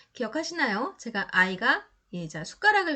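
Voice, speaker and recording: A woman with a bright, sharp tone talks at a moderate pace, her pitch swinging very widely. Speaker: exam prep lecturer. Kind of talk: lecture.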